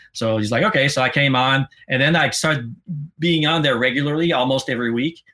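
Here a man speaks with a Quebec accent. His pace is very fast and his pitch fairly high. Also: ordinary pitch variation. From Quebec, Sherbrooke. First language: French. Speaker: former podcast co-host, metal fan. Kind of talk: casual interview chat. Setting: live stream.

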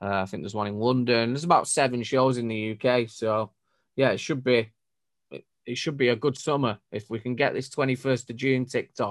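Speaking at a fairly quick pace, a man with a Mancunian accent keeps a medium pitch and fairly even intonation. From northern England, Manchester. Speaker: DJ and music producer. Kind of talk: casual chat. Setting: video call from home studio.

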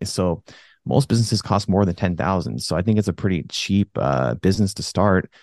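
A man with a very deep, low pitch and vocal fry talks at a fairly quick pace with lively intonation. The sound is dry and close with no echo, over a quiet background. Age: 30s. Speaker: jiu-jitsu instructor and gym owner. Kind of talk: casual chat.

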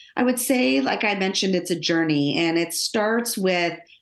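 A woman with an American accent, fairly low in pitch, her intonation lively over music in the background. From Los Angeles suburbs, US. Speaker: business executive and author. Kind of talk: interview.

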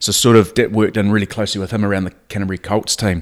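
In a New Zealand accent, a man speaks at a fairly low pitch with monotone, flat intonation. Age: 40s. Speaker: rugby coach. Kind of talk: casual chat. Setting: at the host's house.

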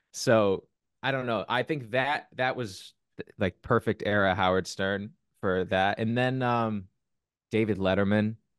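A man at a fairly slow pace, with a dry, close sound, no echo and a quiet background. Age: 20s. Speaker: podcast host and musician. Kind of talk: casual interview chat. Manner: animated, halting with restarts.

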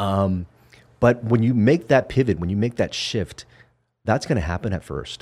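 Speaking at a moderate pace with lively intonation, a man with an American accent has a normal speaking voice. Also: fairly low pitch for a man. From Vietnam, raised in the US. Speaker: physician. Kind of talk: casual chat. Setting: studio.

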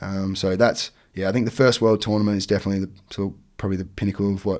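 A man talks at a fairly quick pace in a fairly low voice. The recording is very clean, with a silent background. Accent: Australian. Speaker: teacher and water skier. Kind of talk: casual chat.

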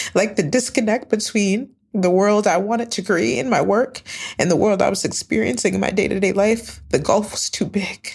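A woman with an American accent and vocal fry speaks at a moderate pace. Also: medium pitch for a woman, ordinary pitch variation. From upstate New York. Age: 30s. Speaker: travel company founder, former nonprofit leader. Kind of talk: storytelling interview.

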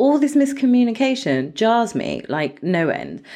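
A woman talks at a moderate pace with vocal fry. Her pitch swings very widely. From Indian heritage. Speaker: life coach and podcast host. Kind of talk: solo podcast monologue. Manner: animated, ranting.

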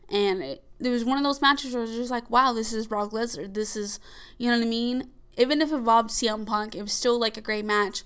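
The speech comes at a very fast pace with ordinary pitch variation against a quiet background. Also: woman, fairly high pitch for a woman. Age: 20s. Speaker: wrestling podcast host. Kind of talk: casual solo podcast monologue. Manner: hesitant, many fillers.

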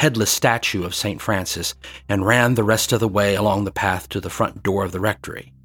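Intonation stays fairly level throughout this plain read-aloud passage.

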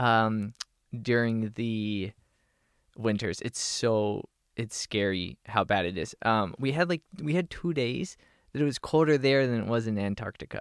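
In a normal speaking voice with an American accent, a man talks at a medium pitch with lively intonation. The recording is very clean with a silent background, and the sound is dry and close with no echo. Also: fairly slow pace. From Pennsylvania (Harrisburg). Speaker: youth motivational speaker. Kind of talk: casual interview.

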